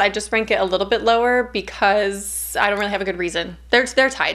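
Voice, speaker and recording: Against a quiet background, a woman speaks with vocal fry. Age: 30s. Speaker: horror YouTuber. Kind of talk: casual vlog monologue. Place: home room.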